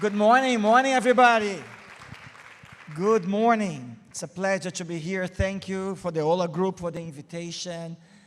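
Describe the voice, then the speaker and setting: A Brazilian accent, ordinary pitch variation, big jumps in volume, and crowd noise behind the voice. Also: man, high pitch for a man, moderate pace. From Brazil, Rio de Janeiro. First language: Portuguese. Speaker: marketing agency CEO, keynote speaker. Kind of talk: keynote talk. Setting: stage with audience.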